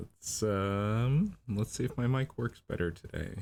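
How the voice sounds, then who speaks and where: A man mumbling at a fairly slow pace, with lively intonation. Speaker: storyboard artist streaming drawing session. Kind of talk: livestream tutorial while drawing. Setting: livestream at home computer. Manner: hesitant, many fillers.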